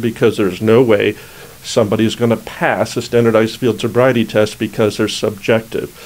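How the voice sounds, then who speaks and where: Amid noticeable background noise, a man talks at a fairly quick pace in a medium pitch. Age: old. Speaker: criminal defense attorney. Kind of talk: legal explainer video. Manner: mumbles a fair amount; casual, conversational.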